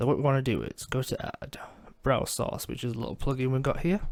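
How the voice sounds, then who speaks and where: At a moderate pace, a man delivers his words. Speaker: gaming streamer. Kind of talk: tutorial. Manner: casual.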